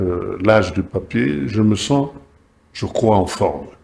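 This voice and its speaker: A man speaks at a very slow pace with vocal fry. His pitch sits in the medium range. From Kinshasa, DR Congo. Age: 80s+. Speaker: former state TV director and journalist. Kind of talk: talk show interview. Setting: TV studio. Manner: hesitant, many fillers.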